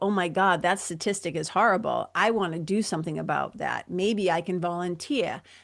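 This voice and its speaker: Against a quiet background, a woman with a Boston accent talks at a fairly quick pace in a fairly low pitch, with vocal fry and ordinary pitch variation. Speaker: podcast host, spiritual mentor. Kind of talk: solo podcast talk. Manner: energetic, casual, humorous.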